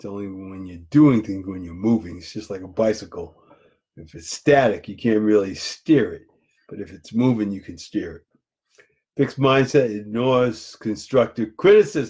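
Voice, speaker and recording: A man with an American accent and a normal speaking voice talks at a fairly low pitch, with ordinary pitch variation and big swings in loudness. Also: moderate pace. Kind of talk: motivational lesson. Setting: Facebook live video.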